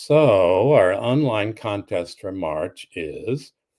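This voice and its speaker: Using an American accent, a man speaks with lively intonation. His pitch is fairly low. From Sacramento, California. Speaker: romance author. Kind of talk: casual chat. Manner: halting.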